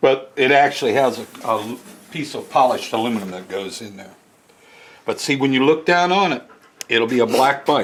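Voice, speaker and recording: A man at medium pitch, fairly quick and lively in intonation, with long, frequent pauses, big swings in loudness, and noticeable background noise. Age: 70s. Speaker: motorcycle restorer and collector. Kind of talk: casual chat.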